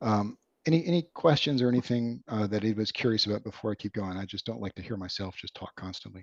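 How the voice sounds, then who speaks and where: A man with a fairly low pitch talks at a very fast pace, with ordinary pitch variation and big swings in loudness, in a dry sound with no echo over a quiet background. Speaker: software developer presenting a product; presenter. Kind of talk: product demo presentation. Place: home room. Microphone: webcam.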